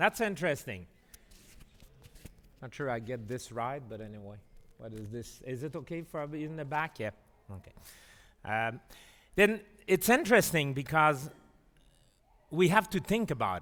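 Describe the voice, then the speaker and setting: A man with a French Canadian accent speaks at a moderate pace and a fairly high pitch, with very wide pitch swings and big swings in loudness. Long, frequent pauses mark the speech on a very clean recording with a silent background. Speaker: physician and professor. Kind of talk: lecture. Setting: conference hall with audience and translation. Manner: halting, many fillers.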